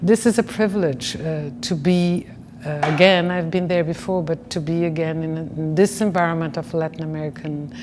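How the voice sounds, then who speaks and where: Over noticeable background noise, a woman with a Brazilian Portuguese accent speaks at a moderate pace in a very deep, low voice with fairly even intonation. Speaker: professor. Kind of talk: interview. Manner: halting, many fillers.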